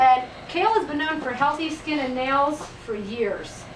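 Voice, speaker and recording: A woman talks at a high pitch with ordinary pitch variation. Room echo is audible and background noise is noticeable. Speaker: health practitioner giving a presentation. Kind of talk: business presentation. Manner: fast.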